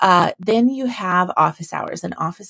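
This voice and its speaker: A woman at a fairly slow pace, with a dry, close sound and no echo. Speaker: copywriter. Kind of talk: product walkthrough. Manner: casual.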